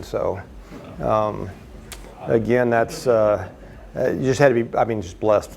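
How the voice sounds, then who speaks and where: A man speaks at a moderate pace. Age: 60s. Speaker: air show pilot. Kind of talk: presentation with audience questions. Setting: meeting room with audience. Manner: halting, many fillers.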